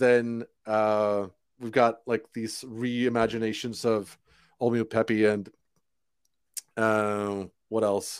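Against a silent background in a very clean recording, a man talks at a very slow pace with monotone, flat intonation, a medium pitch, and long, frequent pauses. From Sweden. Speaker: musician and graphic designer. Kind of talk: casual interview chat.

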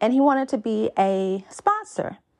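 A woman uses an ordinary speaking voice, talking fairly slowly and varying her pitch in an ordinary way. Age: 30s. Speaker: dating podcast host. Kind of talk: solo podcast monologue.

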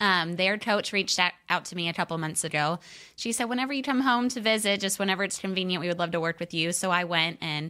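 Bright and sharp in tone, the voice moves at a fairly quick pace with ordinary pitch variation. The recording is very clean, with a silent background. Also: woman. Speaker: professional cheerleader. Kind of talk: casual interview chat.

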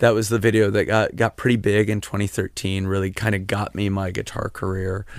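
In a very clean recording with a silent background, a man speaks fairly low and fairly quick in a monotone, flat delivery with hardly any pauses. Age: 30s. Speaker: musician. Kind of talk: casual chat. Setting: in-person in host's living room.

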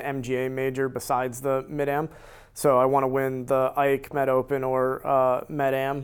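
A man with an American accent and an ordinary speaking voice, fairly high in pitch, at a fairly slow pace, on a very clean recording with a silent background. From US Northeast, central Connecticut. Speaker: amateur golfer. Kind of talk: casual interview.

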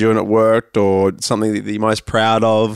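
In an Australian accent, a man at medium pitch speaks with monotone, flat intonation and a dry, close sound with no echo. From Sydney, Australia. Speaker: podcast host. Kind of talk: casual interview chat.

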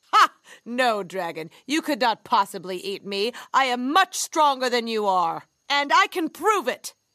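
A put-on character voice moves at a fairly slow pace with big pitch swings and a bright, sharp tone. The recording is very clean, with a silent background. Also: woman, fairly high pitch for a woman.

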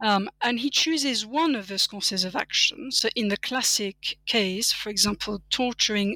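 A woman's fairly high voice with a French accent, ordinary pitch variation and a moderate pace, in a dry, close sound with no echo. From France. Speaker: political philosophy professor. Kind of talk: academic interview. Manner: frequent fillers (um, you know).

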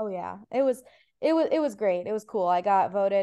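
A woman is speaking. Her tone is dark and mellow. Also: quiet background. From Ohio, US Midwest. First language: Farsi. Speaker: stand-up comedian. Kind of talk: casual chat.

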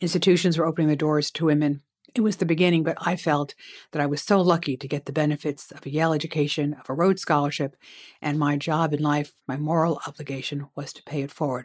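A woman speaks very fast in a very deep, low voice, her loudness swinging widely while her intonation stays fairly even, on a very clean recording with a silent background. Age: 60s. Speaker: lawyer. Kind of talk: interview.

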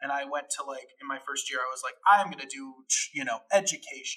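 Moderately paced, a man's speech comes in an American accent. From Chicago area, US Midwest. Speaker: actor and director. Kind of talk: casual interview chat.

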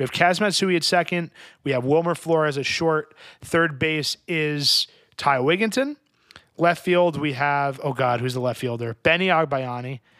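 A man speaks at a moderate pace in a fairly high, bright and sharp voice with an animated tone and ordinary pitch variation. The recording is very clean with a silent background. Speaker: podcast host. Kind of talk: casual chat.

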